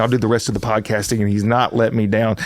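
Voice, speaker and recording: A man speaks at a very fast pace with a Southern US accent. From US South. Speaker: motivational speaker. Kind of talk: casual chat. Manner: energetic.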